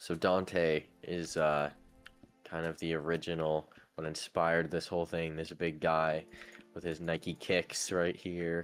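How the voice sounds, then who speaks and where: Music runs in the background as a man talks at a fairly slow pace. His very deep, low voice has a relaxed tone and flat, monotone intonation. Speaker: gamer. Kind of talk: casual game world tour narration.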